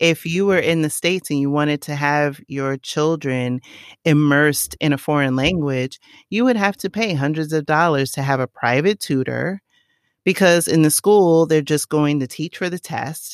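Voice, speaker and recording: The recording is very clean, with a silent background. The voice has a New York accent and a moderate pace. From New York City, the Bronx. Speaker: digital marketing expert and travel platform creator. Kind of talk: podcast interview.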